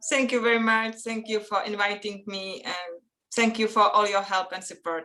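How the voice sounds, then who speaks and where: A woman with a Czech accent speaks at a moderate pace. Her pitch is medium and her intonation fairly even. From Czech Republic. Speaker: children's author and illustrator. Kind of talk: interview. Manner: halting, non-native phrasing.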